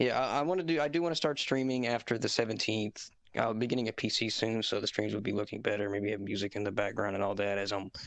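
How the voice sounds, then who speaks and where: Talking at a very fast pace, a man with a Southern US accent uses a fairly low pitch and ordinary pitch variation. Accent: southern US, more than slight. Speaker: competitive fighting game player. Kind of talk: casual chat.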